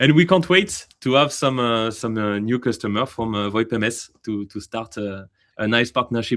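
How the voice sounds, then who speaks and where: With a French accent, a man talks at a moderate pace in a medium pitch with ordinary pitch variation, over a quiet background. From France. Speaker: AI company representative. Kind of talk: webinar Q&A. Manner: hesitant, many fillers.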